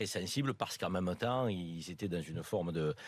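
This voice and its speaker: At a fairly slow pace, a man speaks with a very deep, low pitch. The recording is very clean, with a silent background. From Marseille, southern France. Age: 50s. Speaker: radio panelist. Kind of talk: talk radio panel discussion. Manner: halting, many hesitations.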